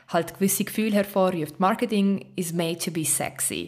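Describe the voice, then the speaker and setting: A woman with a normal speaking voice and medium pitch talks at a moderate pace on a very clean recording with a silent background. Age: 30s. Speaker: advertising and social media expert. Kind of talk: interview.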